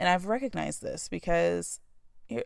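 The recording is very clean with a silent background. A woman speaks in an animated tone. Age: 20s. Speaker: podcast host. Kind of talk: solo monologue.

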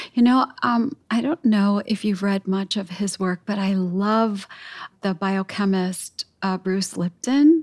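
A somewhat breathy woman with an American accent, very slow pace, ordinary pitch variation, and a dry, close sound with no echo. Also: medium pitch for a woman. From US, Chicago. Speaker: podcast co-host. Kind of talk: casual chat.

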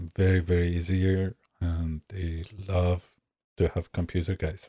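A man with a very deep, low pitch talks slowly in a somewhat breathy, monotone, flat voice. The recording is very clean and silent, with a dry, close sound and no echo. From Iran. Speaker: massage therapist. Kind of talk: casual interview.

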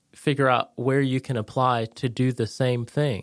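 A man with an American accent speaks at a moderate pace, in a medium pitch with monotone, flat intonation. The very clean recording has a silent background and a dry, close sound with no echo. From Connecticut. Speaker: veteran and real estate agent. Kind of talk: casual chat.

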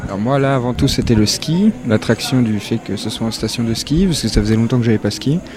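With noticeable noise in the background, a man keeps a moderate pace. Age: 20s. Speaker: waiter. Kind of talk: interview. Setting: restaurant dining room.

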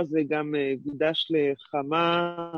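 Her voice is that of a woman with a very deep, low pitch. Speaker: participant in spiritual class. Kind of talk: personal sharing.

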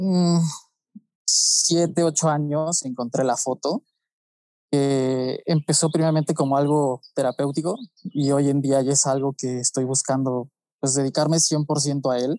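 A man talks at a fairly slow pace in a fairly high pitch with a dark, mellow tone. His intonation is fairly even, and the sound is dry and close with no echo. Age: 20s. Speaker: photographer and pharmaceutical chemist. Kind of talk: podcast interview.

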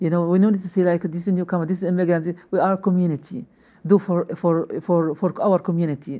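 A woman's dark, mellow tone, flat monotone intonation, and very fast pace. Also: fairly low pitch for a woman. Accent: Arabic. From Libya. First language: Arabic. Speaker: newcomers' program coordinator. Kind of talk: interview. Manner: halting.

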